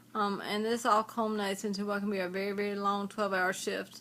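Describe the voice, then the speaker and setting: Her bright, sharp, fairly high voice moves at a fairly quick pace on a very clean recording with a silent background. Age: 50s. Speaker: registered nurse with Parkinson's disease. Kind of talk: interview answers. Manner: slurred, hard to understand; halting, many fillers.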